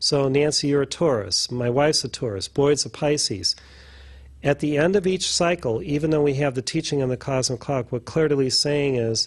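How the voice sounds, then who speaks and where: Somewhat breathy, a man with a fairly high pitch talks at a fairly quick pace with ordinary pitch variation. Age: 60s. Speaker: spiritual teacher. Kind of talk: casual chat.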